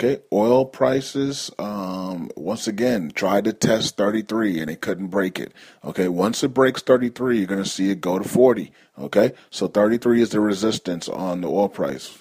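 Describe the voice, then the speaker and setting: Against a quiet background, a man with an unremarkable speaking voice talks at a fairly low pitch. He keeps a moderate pace with ordinary pitch variation. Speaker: news call host. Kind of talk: market news commentary.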